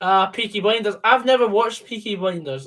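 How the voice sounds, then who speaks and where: This Scottish-accented voice belongs to a man. He talks at a moderate pace. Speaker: football fan co-commentator. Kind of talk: casual chat. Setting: call.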